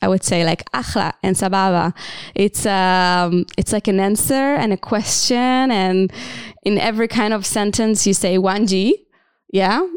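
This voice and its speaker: Fairly slow speech in a dry, close sound with no echo, on a very clean recording against a silent background. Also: woman. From Israel (Tel Aviv). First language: Hebrew. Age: 30s. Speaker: social entrepreneur and dancer. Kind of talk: interview. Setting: studio. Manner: hesitant, many fillers.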